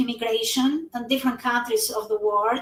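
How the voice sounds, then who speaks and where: This is a woman speaking. Her pitch is high. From Albania. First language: Albanian. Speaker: network marketing entrepreneur. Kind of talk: live stream interview. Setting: live stream.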